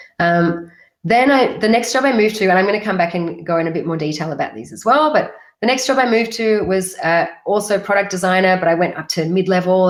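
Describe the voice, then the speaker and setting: Racing at a very fast pace, a woman with an Australian accent uses lively intonation at a medium pitch. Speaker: UX design consultant. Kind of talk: webinar talk. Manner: casual, many fillers.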